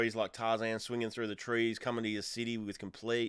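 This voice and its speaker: A man with an Australian accent speaks very fast at a medium pitch, his intonation monotone and flat. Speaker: music reaction youtuber. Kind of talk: music reaction commentary. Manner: casual, hesitant with fillers.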